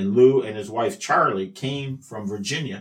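Lively intonation and a moderate pace mark this speech with a Midwestern American accent. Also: man. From US Midwest, Iowa. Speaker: journalist and wrestling historian. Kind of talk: interview storytelling. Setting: in person at the museum.

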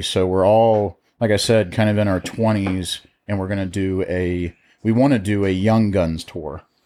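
Fairly slow, fairly even speech from a man with an American accent, on a very clean recording with a silent background. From Ohio. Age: 20s. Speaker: cigar company sales rep. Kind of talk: casual chat.

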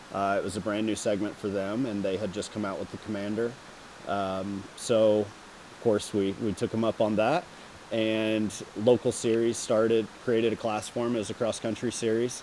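Speaking with a Texan accent, a man uses a fairly low pitch and a monotone, flat intonation at a moderate pace. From Texas. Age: 30s. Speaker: professional off-road racer. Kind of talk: casual interview. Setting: race shop.

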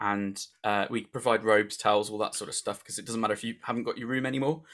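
At a fairly quick pace, a man with a normal speaking voice talks at medium pitch with ordinary pitch variation, recorded very cleanly against a silent background. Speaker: podcast host. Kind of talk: casual chat between friends.

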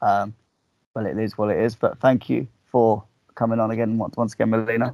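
A man with a fairly low pitch and a slightly mellow tone speaks fairly quickly, with little pitch movement.

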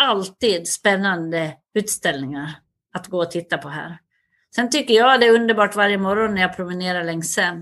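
Against a quiet background, a woman with a Dalarna accent talks at a moderate pace and medium pitch, with ordinary pitch variation and big swings in loudness. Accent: Dalarna dialect, noticeable. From Sweden, Västerdalarna (Dalarna). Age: 60s. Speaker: cultural institute director. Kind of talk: interview.

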